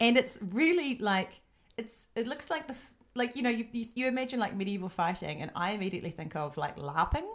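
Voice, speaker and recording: A woman with a New Zealand accent at a fairly high pitch, with very wide pitch swings and a fairly quick pace. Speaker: podcast host. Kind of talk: casual interview chat.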